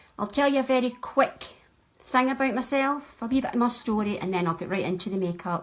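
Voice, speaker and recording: A woman with a west of Scotland accent speaks at a fairly quick pace in a high pitch with lively intonation. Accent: Scottish (west of Scotland). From Scotland, Ayrshire. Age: 60s. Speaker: makeup artist. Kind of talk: makeup tutorial livestream. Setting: live video stream at home.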